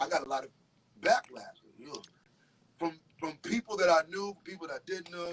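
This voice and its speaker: A man with an American accent in a dry, close sound with no echo. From Connecticut, USA. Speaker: R&B soul singer. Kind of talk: interview answer.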